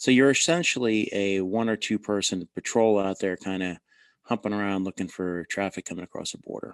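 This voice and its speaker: Speaking with a New Jersey accent at a fairly quick pace, a man uses a fairly low pitch in a dry, close sound with no echo. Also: ordinary pitch variation, quiet background. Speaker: former border agent and army officer. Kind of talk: interview. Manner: casual.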